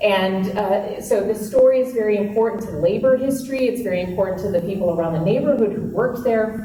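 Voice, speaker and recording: At a moderate pace, a woman with a fairly high pitch speaks with ordinary pitch variation, amid noticeable background noise and audible room echo. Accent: Minnesota. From Minnesota. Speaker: historic preservation advocate. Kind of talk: talk to an audience. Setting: meeting room with audience.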